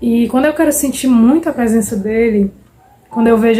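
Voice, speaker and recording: Music in the background behind a woman's fairly high voice at a fairly quick pace. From Fortaleza, Ceará, Brazil. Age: 20s. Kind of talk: casual devotional talk to camera. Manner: warm, heartfelt.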